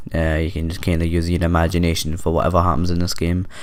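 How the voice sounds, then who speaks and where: A man speaks in a Scottish accent. His pitch is very deep and low. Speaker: gaming YouTuber. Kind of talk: gameplay commentary, casual chat. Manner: quiet, hesitant with fillers.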